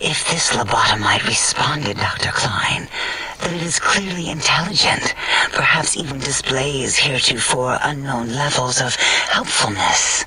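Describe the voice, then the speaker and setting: A man speaks in a put-on character voice at fairly high pitch. His pace is moderate. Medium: machinima. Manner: calm, clinical.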